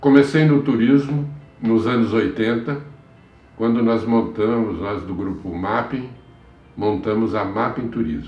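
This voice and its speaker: Amid noticeable background noise and audible room echo, a man at medium pitch speaks at a very slow pace with ordinary pitch variation. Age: 70s. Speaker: travel industry executive. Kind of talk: interview testimony. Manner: halting, with repetitions.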